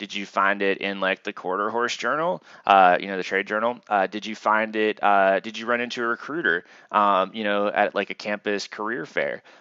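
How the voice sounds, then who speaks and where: Fairly even intonation marks this man's fairly low-pitched voice. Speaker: university instructor. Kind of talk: lecture. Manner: fast; casual, filler-heavy.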